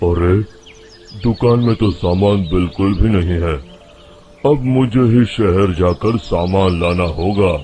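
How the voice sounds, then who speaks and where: In a put-on character voice, a man rumbles at a very deep, low pitch, keeping his loudness very even at a fairly slow pace. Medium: cartoon. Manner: grumbling, scornful.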